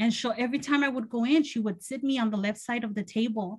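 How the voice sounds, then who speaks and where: A woman with a Spanish accent, fairly high-pitched, talking very fast with ordinary pitch variation. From Mexico (Guadalajara), raised in Los Angeles area from age 7. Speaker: college professor, keynote speaker. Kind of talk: keynote speech, personal testimony.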